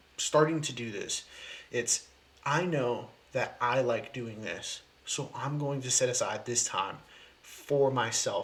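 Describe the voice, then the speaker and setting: Speaking at a very slow pace, a man with a fairly high pitch shows ordinary pitch variation. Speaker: video blogger. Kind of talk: casual monologue. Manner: hesitant, filler words.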